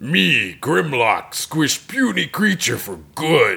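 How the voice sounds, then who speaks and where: This man uses a put-on character voice. He talks at a very slow pace. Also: medium pitch for a man. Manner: broken caveman speech, boastful.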